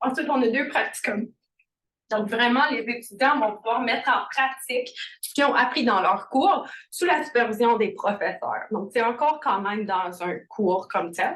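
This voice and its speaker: A woman with a high voice and lively intonation talks at a fairly slow pace. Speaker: program team member presenting a graduate program. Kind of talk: information session presentation. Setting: presentation to an audience at a college. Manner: hesitant, many fillers.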